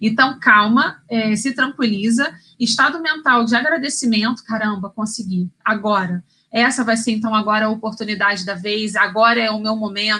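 In an ordinary speaking voice, a woman talks at a moderate pace with a fairly high pitch and ordinary pitch variation. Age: 30s. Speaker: career coach. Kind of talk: live stream talk. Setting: live stream.

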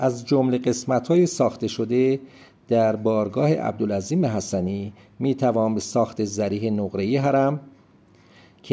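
With a dark, mellow tone, a man speaks at medium pitch and a moderate pace, showing ordinary pitch variation and very even loudness. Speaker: travel podcast host. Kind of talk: scripted narration. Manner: formal.

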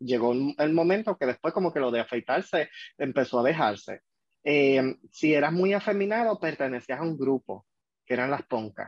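This man has a normal speaking voice, fairly high in pitch, with lively intonation, very even loudness and a moderate pace. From Puerto Rico, Vega Alta. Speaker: HIV prevention worker. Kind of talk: casual chat.

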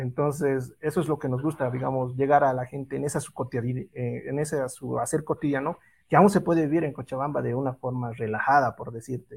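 Somewhat breathy and fairly high-pitched, a man speaks with fairly even intonation on a very clean recording with a silent background. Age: 30s. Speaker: photographer, event organizer. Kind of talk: interview.

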